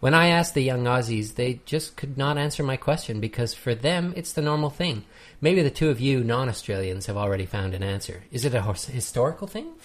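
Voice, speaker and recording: Speaking at a fairly quick pace with hardly any pauses, a man with a Canadian accent sounds somewhat breathy. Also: medium pitch for a man, lively intonation, very clean recording, silent background. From Canada. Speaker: podcast host. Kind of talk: casual chat.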